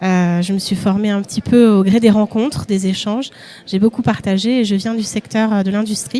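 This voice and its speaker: With an ordinary speaking voice, a woman talks at a medium pitch and moderate pace, her intonation fairly even. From Paris region, France. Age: 40s. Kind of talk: live event interview.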